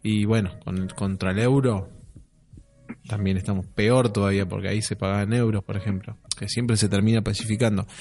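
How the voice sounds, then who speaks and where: A man's fairly low voice, monotone and flat, at a moderate pace over music in the background. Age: 30s. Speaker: podcast co-host. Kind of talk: casual chat.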